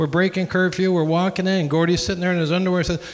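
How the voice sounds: A man talks at a fast pace with a fairly high pitch.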